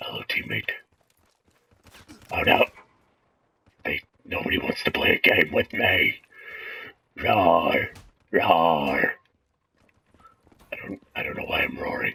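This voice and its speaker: This man talks in a put-on character voice at a fairly slow pace. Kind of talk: comedic gameplay commentary in character. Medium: role play.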